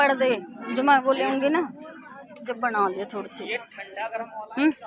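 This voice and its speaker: This woman has a high pitch and ordinary pitch variation, speaking at a fairly slow pace. Crowd noise can be heard in the background. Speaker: vlogger. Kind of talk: casual vlog. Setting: outdoors at market.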